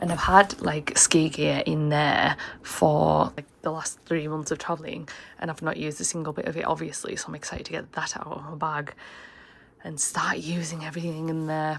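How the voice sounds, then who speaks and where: With a very deep, low pitch and vocal fry, a woman speaks in a monotone, flat intonation at a moderate pace, her loudness swinging widely. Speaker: travel vlogger. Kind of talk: casual vlog chat. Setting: hostel room.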